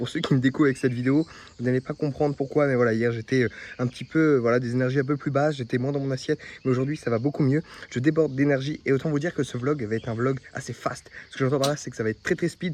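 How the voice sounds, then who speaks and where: The man's fairly high voice rushes along at a very fast pace. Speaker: fitness vlogger. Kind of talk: casual vlog. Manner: energetic.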